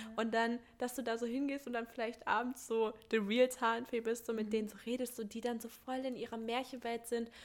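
A woman talks at a very fast pace. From Thuringia, Germany. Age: 20s. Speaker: community initiative organizer, working student. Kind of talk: casual interview chat.

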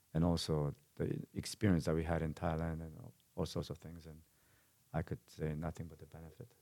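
A Korean accent with a dark, mellow tone, monotone, flat intonation, a fairly quick pace, long, frequent pauses and big swings in loudness. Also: man, very deep, low pitch for a man. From South Korea. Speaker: martial arts gym owner and fight promoter. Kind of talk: casual interview. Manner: halting, frequent repetitions.

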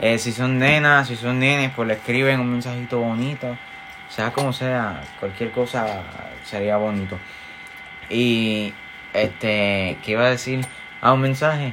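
The pace is fairly slow. Audible room echo and noticeable background noise surround the voice. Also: man, medium pitch for a man. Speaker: podcast co-host. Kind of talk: casual chat. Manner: animated.

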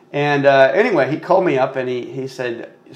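A man with an American accent at a moderate pace, with noticeable background noise. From Texas. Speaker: podcast guest, car enthusiast. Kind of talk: casual interview. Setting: home studio.

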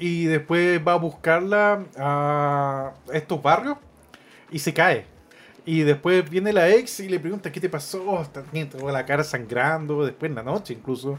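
The speaker has a Chilean accent. The pace is fairly slow. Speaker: film podcast co-host. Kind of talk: casual film discussion.

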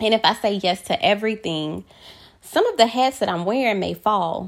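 Moderate pace, ordinary pitch variation and a plain, everyday voice from a woman. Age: 30s. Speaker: solo podcaster and hairstylist. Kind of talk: personal monologue podcast.

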